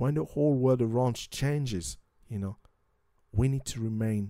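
At a fairly quick pace, a man with a French accent speaks at medium pitch in a dark, mellow tone with fairly even intonation, recorded very cleanly against a silent background. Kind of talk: religious talk show discussing Bible prophecy and news. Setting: studio.

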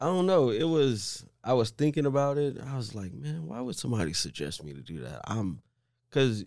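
On a very clean recording with a silent background, a man with an American accent talks fairly quickly with very wide pitch swings. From Omaha, Nebraska, US Midwest. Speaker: state senator. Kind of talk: podcast interview.

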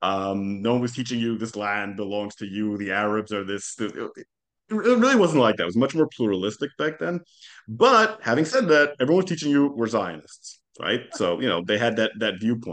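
Over a quiet background, the speaker uses lively intonation in an Israeli accent. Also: man, medium pitch for a man, moderate pace. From Jerusalem, Israel. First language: Hebrew. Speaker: podcast host, historian. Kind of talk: casual interview conversation.

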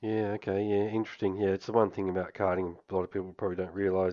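A man with an Australian accent, fairly low in pitch, with monotone, flat intonation. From Australia, Canberra. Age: 50s. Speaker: podcast host. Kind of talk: casual chat.

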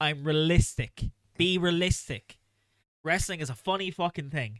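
The voice has a bright, sharp tone, ordinary pitch variation and a moderate pace, with a dry, close sound and no echo. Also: man. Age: 20s. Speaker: wrestling podcast host. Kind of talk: casual chat.

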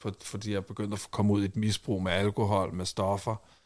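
In a very clean recording with a silent background, a man has an ordinary speaking voice, a fairly low pitch and a moderate pace. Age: 30s. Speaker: reality TV personality and war veteran. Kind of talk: casual chat. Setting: studio.

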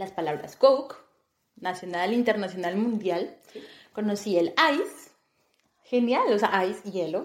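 A woman is speaking. Her pace is fairly slow. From Colombia, Bogotá. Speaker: podcast co-host. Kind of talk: casual chat.

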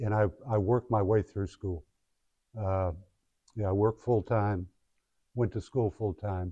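Against a quiet background, a man with an American accent speaks at a moderate pace in a fairly low pitch and a dark, mellow tone, with fairly even intonation, long, frequent pauses, and a dry, close sound with no echo. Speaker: guest speaker and founder. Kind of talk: guest lecture to a class. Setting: classroom with students. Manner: halting, conversational, with fillers.

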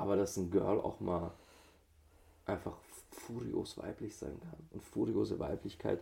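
A man's fairly low voice, dark and mellow, with vocal fry and lively intonation, at a fairly slow pace with long, frequent pauses. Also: big swings in loudness. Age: 30s. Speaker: tantra teacher. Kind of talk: casual chat.

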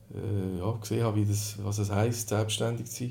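A man's fairly low, dark, mellow voice, somewhat breathy and monotone, at a moderate pace with audible room echo. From Switzerland, Sursee region (Lucerne). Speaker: newsletter founder and coworking space operator. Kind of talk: casual interview. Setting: coworking space.

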